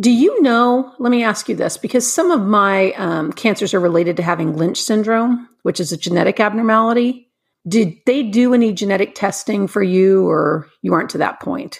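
A woman with an unremarkable speaking voice talks at a fairly high pitch and a moderate pace, with lively intonation and hardly any pauses. The recording is very clean, with a silent background. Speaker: podcast host. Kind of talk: casual interview. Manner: warm, friendly.

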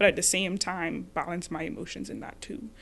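Showing vocal fry, a woman speaks at a medium pitch with ordinary pitch variation. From the Bahamas. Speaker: graduate student and podcast host. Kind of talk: casual conversation.

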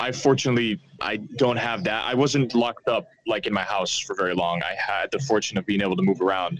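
Here a man with an American accent talks at a medium pitch with lively intonation. He keeps a fairly quick pace with hardly any pauses. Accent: American-sounding English. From Netherlands, Amsterdam. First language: Dutch. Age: 20s. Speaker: author. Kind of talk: casual interview. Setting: remote call.

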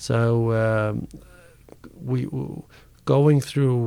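A man with an Icelandic accent, his tone dark and mellow, his pace fairly slow. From Iceland, Reykjavik. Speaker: karate coach and personal trainer. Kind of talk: interview. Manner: halting.

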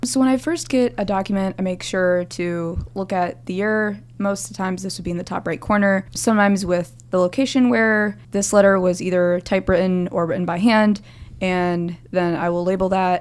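Delivered at a moderate pace with hardly any pauses, this is an ordinary speaking voice with ordinary pitch variation. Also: woman, medium pitch for a woman. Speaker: undergraduate student researcher. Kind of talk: casual interview.

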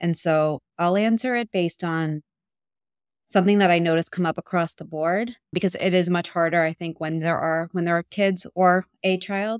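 A woman with an American accent speaks at a moderate pace in a fairly low voice, her intonation fairly even, recorded dry and close with no echo. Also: very clean recording, silent background. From New York. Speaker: abuse recovery coach. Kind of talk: interview. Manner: loud.

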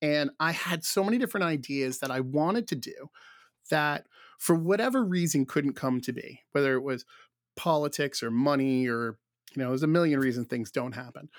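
On a very clean recording with a silent background, a man with an American accent speaks at a fairly high pitch and a fairly quick pace, with ordinary pitch variation. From Rhode Island, US. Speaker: conference producer. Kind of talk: casual interview chat. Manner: halting, many fillers.

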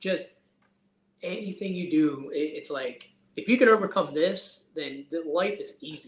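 At a fairly slow pace, a man speaks with a high pitch, lively intonation and big swings in loudness. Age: 30s. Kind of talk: casual interview chat.

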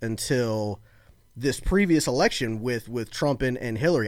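Pitched at a medium level, this man has a plain, everyday voice. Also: very clean recording, silent background. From Florida (born in Baltimore). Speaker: political guest, conservative podcaster. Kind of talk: casual political conversation.

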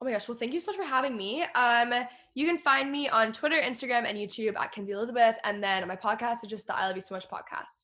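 Her voice is high in pitch, with an American accent. The woman talks at a very fast pace with lively intonation. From Texas. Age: 20s. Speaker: YouTuber and podcaster. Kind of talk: casual interview.

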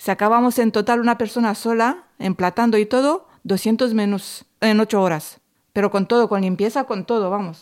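Recorded very cleanly against a silent background, a woman talks at a moderate pace with very even loudness, a fairly high pitch and ordinary pitch variation. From southern Romania, near Craiova. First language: Romanian (speaking Spanish). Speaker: podcast co-host, cleaning and catering worker. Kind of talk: casual chat.

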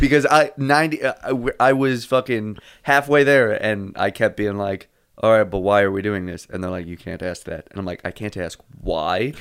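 Lively intonation in an unremarkable speaking voice. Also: man, medium pitch for a man, moderate pace, big swings in loudness. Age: 20s. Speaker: comedy podcast co-host. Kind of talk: casual chat.

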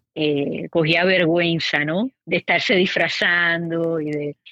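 The woman here has a fairly low-pitched voice. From Puerto Rico. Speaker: podcast host. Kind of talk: casual chat.

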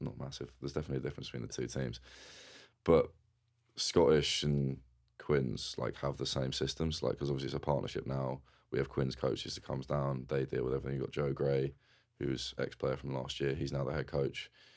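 A man with an English accent speaks at a very deep, low pitch with vocal fry. His delivery is fairly quick and his intonation is monotone and flat. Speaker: rugby player. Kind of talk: casual interview chat. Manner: casual, conversational.

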